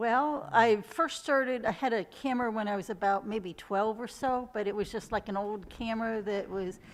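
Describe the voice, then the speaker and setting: A plain, everyday voice from a woman, fairly high in pitch with ordinary pitch variation, moving at a moderate pace with hardly any pauses. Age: 60s. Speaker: photographer. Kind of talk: interview.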